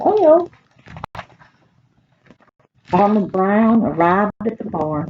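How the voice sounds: A woman's slightly husky voice at a very slow pace, big pitch swings, and a dry, close sound with no echo. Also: medium pitch for a woman.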